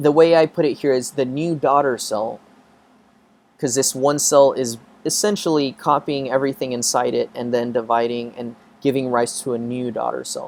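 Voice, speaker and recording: A man with a normal speaking voice holds a medium pitch, ordinary pitch variation and a moderate pace. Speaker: biology professor. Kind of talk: lecture. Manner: casual, filler-heavy.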